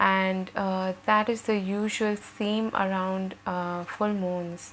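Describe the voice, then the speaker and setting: A soft-spoken woman's voice at medium pitch, flat and monotone, at a very slow pace. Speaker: tarot reader. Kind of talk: tarot reading.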